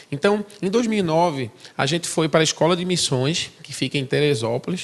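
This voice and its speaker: Intonation is lively and the pace moderate. The speaker has a strong northeastern Brazilian accent. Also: man. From Brazil, Recife (Pernambuco). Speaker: missionary. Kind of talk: testimony.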